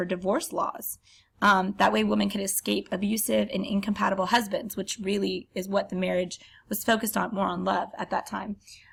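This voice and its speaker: A woman's medium-pitched voice with vocal fry, at a fairly quick pace. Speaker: teacher. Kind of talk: lecture. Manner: hesitant, many filler ums.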